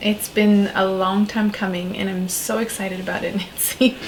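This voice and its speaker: Noticeable background noise sits behind a woman with a French accent. She talks at a moderate pace with a medium pitch. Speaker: shaman, spiritual coach and author. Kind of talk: interview conversation.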